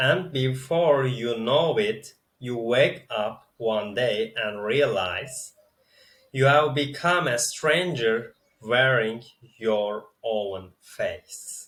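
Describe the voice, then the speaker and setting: A man speaks very slowly with a non-native accent. His pitch sits in the medium range. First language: not English. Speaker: spiritual video creator. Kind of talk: reading from teleprompter, reflective monologue. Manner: slightly halting, self-correcting.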